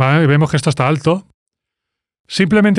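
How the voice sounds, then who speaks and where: Over a quiet background, a man speaks very fast in a dry sound with no echo. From Spain. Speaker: music producer. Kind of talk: tutorial. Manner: animated. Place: studio. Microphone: studio mic.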